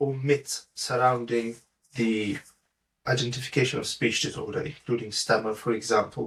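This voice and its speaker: A man talks in a plain, everyday voice, medium in pitch, his intonation fairly even. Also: moderate pace. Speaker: podcast host. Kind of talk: podcast interview questions.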